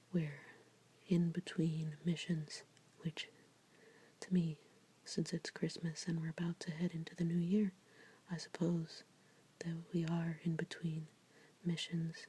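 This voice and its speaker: The speaker is soft-spoken, moving at a fairly slow pace with long, frequent pauses. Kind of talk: ASMR tarot reading, soft-spoken. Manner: soft-spoken, relaxing.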